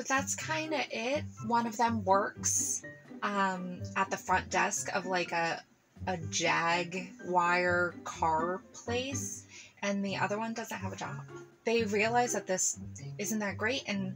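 Over clear music in the background, the voice moves at a very slow pace. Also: woman. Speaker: film reviewer. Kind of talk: casual film review commentary. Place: home room.

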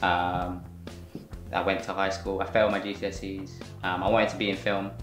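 A fairly low-pitched male voice over clear background music. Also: fairly even intonation. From West London. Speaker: freelance film director. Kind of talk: interview answer. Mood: relaxed, reflective. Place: home room.

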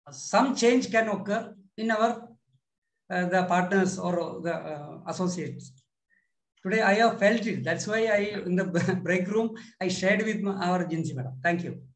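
A man's high-pitched voice with ordinary pitch variation, a moderate pace, and long, frequent pauses. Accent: Indian. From India. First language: Malayalam. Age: 50s. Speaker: manager. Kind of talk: class discussion. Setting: video call.

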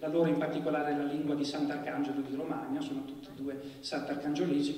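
A man talks at a very fast pace with audible room echo. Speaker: literary critic introducing the event. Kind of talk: formal lecture-style introduction. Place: stage.

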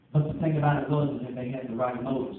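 Audible room echo surrounds a man who talks at a very fast pace. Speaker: preacher. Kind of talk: sermon. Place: church. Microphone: camera far.

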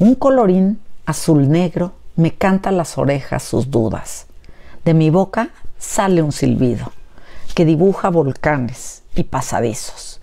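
A woman with a fairly low pitch talks very slowly, her pitch swinging very widely. Her loudness stays very even against a quiet background. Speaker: educator and book reviewer. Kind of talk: poetry reading aloud, after an informal educational talk. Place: home room. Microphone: lapel.

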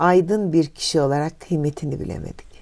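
The setting has a quiet background. A woman talks in a dark, mellow tone. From Turkey, Ankara (Kayaş). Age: 70s. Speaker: retiree, oral history interviewee. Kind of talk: oral history interview.

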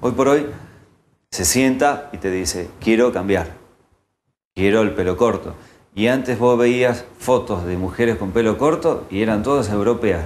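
With a Rioplatense accent, the speaker goes at a fairly slow pace with long, frequent pauses, ordinary pitch variation and light background noise. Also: man, medium pitch for a man. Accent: Argentine Spanish (rioplatense). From Argentina, Santa Fe. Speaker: hairdresser; guest. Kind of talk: interview. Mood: calm, critical opinions. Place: studio. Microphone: lapel.

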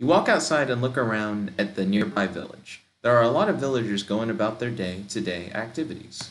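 Pitch variation is ordinary. The delivery is plain reading aloud.

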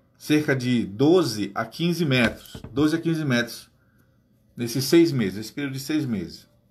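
A man with ordinary pitch variation over light background noise. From Amazonas, Brazil. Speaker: teacher and guide; teacher explaining geography. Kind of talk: casual explainer to camera; casual explanatory vlog talk. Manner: hesitant, repeats words. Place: home room. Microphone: phone near.

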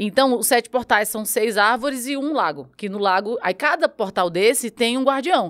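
Against a quiet background, a woman with a northeastern Brazilian accent talks at a moderate pace with lively intonation. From Brazilian Northeast. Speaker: podcast host. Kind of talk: casual chat. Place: studio. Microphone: studio mic.

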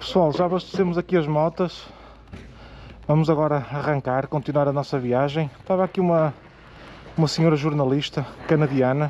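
Moderate pace and fairly even intonation from a man, the sound dry with no echo over light background noise. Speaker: motorcycle travel vlogger. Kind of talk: casual vlog chat. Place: street. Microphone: phone near.

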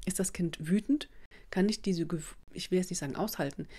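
This woman's voice sits at a medium pitch and varies in an ordinary way. She talks fairly quickly. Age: 40s. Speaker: parenting coach and video blogger. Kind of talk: advice monologue to camera. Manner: casual with many fillers.

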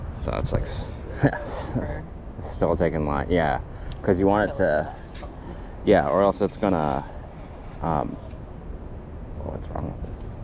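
Against noticeable background noise, the speech moves at a fairly slow pace with long, frequent pauses. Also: man, very deep, low pitch for a man, ordinary pitch variation. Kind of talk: casual vlog chat. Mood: relaxed, amused. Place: waterside. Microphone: phone near.

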